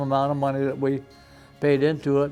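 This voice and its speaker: Music plays behind a man with an American accent. His voice sits fairly high. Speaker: retired fire chief. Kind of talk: oral history interview answer.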